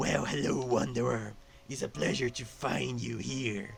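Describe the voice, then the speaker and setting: Clear music plays behind a man doing a put-on character voice. He growls at a medium pitch. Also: moderate pace. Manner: beckoning, sinister.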